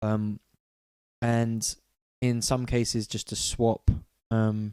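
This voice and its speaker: In a London accent, a man speaks at a medium pitch with a dark, mellow tone, the sound dry and close with no echo. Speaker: music producer. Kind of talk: live-stream tutorial. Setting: live stream. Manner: quiet; casual, hesitant.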